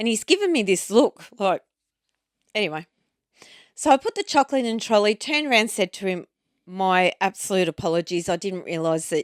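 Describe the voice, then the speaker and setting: A woman with an Australian accent at medium pitch, animated in tone with lively intonation, fairly quick but broken by long, frequent pauses, in a dry, close sound with no echo on a very clean recording with a silent background. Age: 40s. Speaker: podcast co-host. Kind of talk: casual chat.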